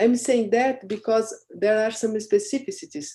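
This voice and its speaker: A moderate pace with a Portuguese accent. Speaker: thesis examiner. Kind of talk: academic questioning. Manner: halting.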